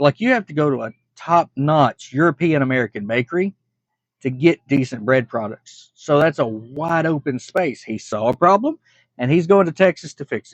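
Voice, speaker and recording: A man with an ordinary speaking voice and a fairly high pitch uses lively intonation at a moderate pace, the sound dry and close with no echo and the background quiet. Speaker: reaction video creator. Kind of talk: casual reaction commentary.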